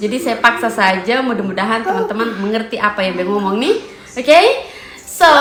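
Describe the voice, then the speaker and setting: Amid audible room echo and noticeable background noise, a woman talks fairly quickly at a fairly high pitch with lively intonation. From eastern Indonesia, NTT (East Nusa Tenggara). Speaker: family vlogger. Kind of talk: casual vlog talk to camera. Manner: code-switches between Indonesian, NTT dialect and English.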